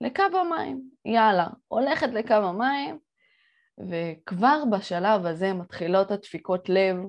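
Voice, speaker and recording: Over a quiet background, a woman speaks at a very slow pace with a medium pitch. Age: 20s. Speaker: entrepreneur and podcast host. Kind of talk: solo podcast monologue. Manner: animated.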